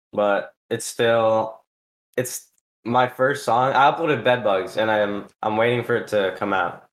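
Speaking at a fairly slow pace, a man with an ordinary speaking voice keeps a medium pitch and fairly even intonation. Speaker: podcast host. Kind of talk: casual chat.

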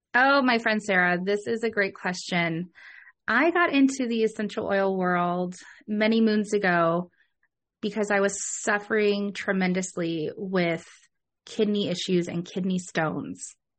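At a fairly slow pace, a woman speaks. Her pitch is medium, with ordinary pitch variation. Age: 30s. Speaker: podcast host, essential oil specialist. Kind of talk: casual chat. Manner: animated.

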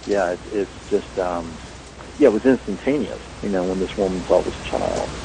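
A man with an American accent speaks at a fairly low pitch with ordinary pitch variation amid noticeable background noise. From US South, rural North Carolina. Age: 40s. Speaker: paranormal investigator and author. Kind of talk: interview.

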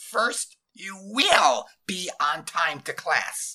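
A man uses a put-on character voice, high in pitch with big pitch swings and a bright, sharp tone, at a very slow pace.

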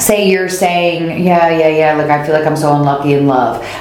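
Noticeable background noise and audible room echo around a woman with a very deep, low pitch. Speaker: tarot reader. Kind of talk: casual interview chat and tarot reading. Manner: informal.

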